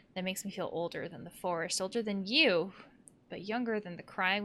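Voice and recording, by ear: With ordinary pitch variation, the clip is reading aloud in a natural voice.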